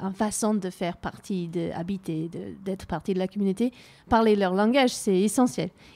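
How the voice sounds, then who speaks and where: This woman's voice has a dark, mellow tone at medium pitch with ordinary pitch variation, captured in a very clean recording with a silent background. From New Zealand. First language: English (speaking French). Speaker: community radio host. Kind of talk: interview.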